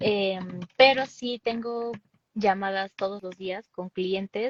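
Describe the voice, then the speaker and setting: A woman with a Mexican accent speaks at a medium pitch with fairly even intonation, in a dry, close sound with no echo. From Mexico City. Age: 20s. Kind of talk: interview.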